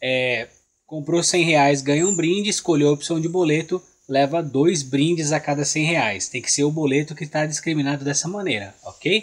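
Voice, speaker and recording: At a moderate pace, a man with a Brazilian accent speaks in a fairly high pitch. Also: ordinary pitch variation, quiet background. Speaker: orchid shop seller. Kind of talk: sales pitch, street-seller style promo patter. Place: garden. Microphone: phone near.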